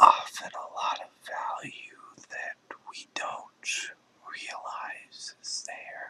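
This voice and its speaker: The speaker is whispering. The pace is very slow. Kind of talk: ASMR whispered reflective talk. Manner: whispered.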